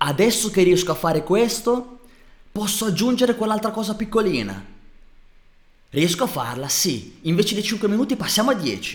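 An animated man with a high pitch and lively intonation, at a moderate pace with long, frequent pauses. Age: 30s. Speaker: fitness and lifestyle coach. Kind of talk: motivational monologue.

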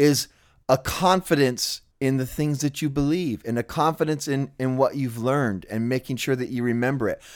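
A man's medium-pitched, normal speaking voice at a moderate pace with ordinary pitch variation, in a very clean recording with a silent background. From Southern California. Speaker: punk musician and podcaster. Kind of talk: casual conversation.

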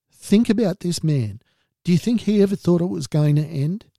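A man speaks with an Australian accent in a dark, mellow tone at a moderate pace. The sound is dry and close, with no echo. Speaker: mental health podcast host. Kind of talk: monologue podcast talk.

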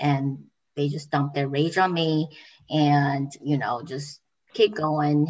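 The speaker talks at a fairly slow pace in a Taiwanese accent. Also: woman. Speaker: graduate student.

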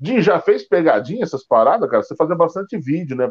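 A man speaks in a normal speaking voice. His intonation is lively. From Rio de Janeiro (Bangu). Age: 40s. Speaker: stand-up comedian. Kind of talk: casual chat. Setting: YouTube livestream.

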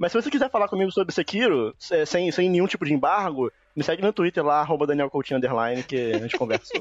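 A man speaks at a very fast pace in a high voice, with lively intonation and hardly any pauses. The sound is dry and close with no echo, and the loudness stays very even. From Brazil, Rio de Janeiro. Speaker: gaming podcaster. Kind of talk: casual chat.

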